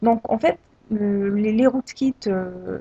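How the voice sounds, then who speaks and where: The woman's voice is dark and mellow, with ordinary pitch variation. She speaks at a very slow pace in a dry, close sound with no echo. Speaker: tech tutorial creator. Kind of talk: screen-recorded software tutorial. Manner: hesitant, many filler sounds.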